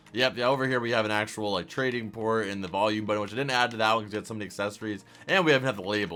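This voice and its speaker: Very fast speech over music in the background. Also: man. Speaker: minecraft youtuber. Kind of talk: tutorial. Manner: animated.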